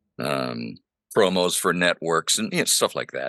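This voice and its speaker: Very deep and low in pitch yet bright and sharp in tone, a man's voice carries vocal fry and ordinary pitch variation at a moderate pace, dry and close with no echo. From Honduras. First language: Spanish. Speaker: pastor and voice actor. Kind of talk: casual interview. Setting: home studio.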